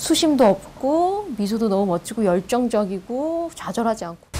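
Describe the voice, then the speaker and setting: Her pitch fairly high and her intonation lively, a woman talks at a moderate pace while noticeable background noise plays behind her. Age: 20s. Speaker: stage actress and drama teacher. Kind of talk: interview.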